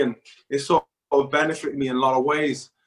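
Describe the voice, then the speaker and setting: A man in a South Wales accent talks at a fairly quick pace with monotone, flat intonation. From Wales, Newport. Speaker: professional futsal player. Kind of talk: interview.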